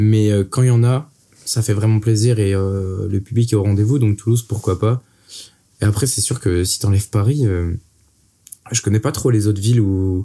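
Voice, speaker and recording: With a dark, mellow tone and a somewhat breathy quality, a man speaks at a moderate pace and a fairly low pitch, keeping his intonation fairly even and his loudness very even, with long, frequent pauses. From Brittany, France. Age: 20s. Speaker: rapper. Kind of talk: casual interview. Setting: in-person studio recording.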